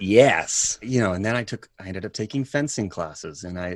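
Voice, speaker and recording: With an American accent and a plain, everyday voice, a man talks at a moderate pace and fairly low pitch, his intonation lively. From US South. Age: 30s. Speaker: actor. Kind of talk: casual chat.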